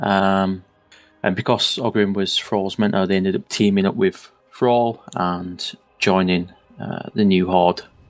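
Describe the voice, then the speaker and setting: A man with a northern English accent speaks fairly slowly at a fairly low pitch in a flat monotone. Music plays in the background. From northern England. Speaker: podcast co-host. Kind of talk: casual chat.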